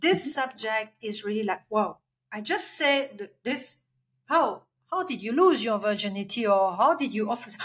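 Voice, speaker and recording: Speaking at a moderate pace in a French accent, a woman uses lively intonation at a fairly high pitch. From Belgium. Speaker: life coach and healer. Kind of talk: interview conversation.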